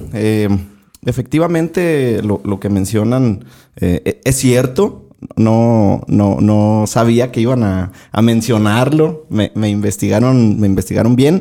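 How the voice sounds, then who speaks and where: A man speaks at a medium pitch and a very slow pace, his dark, mellow tone carrying lively intonation at a very even loudness. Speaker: podcaster and radio announcer, singer-songwriter. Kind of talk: casual interview chat. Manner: halting, frequent repetitions.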